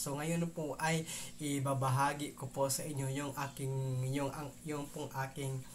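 A man speaks with monotone, flat intonation. There is light background noise. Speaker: cycling tech vlogger. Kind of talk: casual vlog chat. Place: home room. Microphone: lapel.

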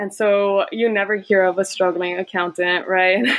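A woman with an American accent speaks at a moderate pace in a medium pitch, her intonation flat and monotone. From Texas border, Laredo; partly Guadalajara, Mexico. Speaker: first-gen college grad, accountant. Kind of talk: casual interview.

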